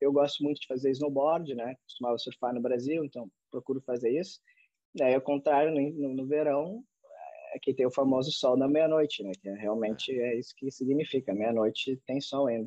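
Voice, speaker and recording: A man's dark, mellow tone comes through dry with no echo against a quiet background. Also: ordinary pitch variation, moderate pace. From Brazil. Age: 30s. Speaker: professional footballer; podcast guest. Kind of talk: interview. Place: home room. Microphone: video call.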